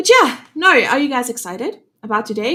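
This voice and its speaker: With a South African accent, a woman talks at a moderate pace in a bright, sharp tone with lively intonation. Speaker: webinar host. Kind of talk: live webinar chat. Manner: casual, many filler words.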